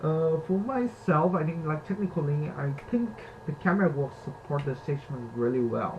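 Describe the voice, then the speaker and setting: A man with a non-native accent speaks at a moderate pace. His fairly high voice moves with lively intonation. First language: not English. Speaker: university student. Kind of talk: reflective presentation. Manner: halting.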